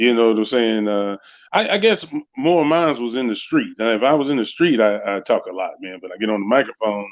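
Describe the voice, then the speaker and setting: A medium-pitched man with an American accent, fairly quick and with lively intonation, against a quiet background. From US South. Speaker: retired pro wrestler. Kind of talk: interview. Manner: halting, many fillers.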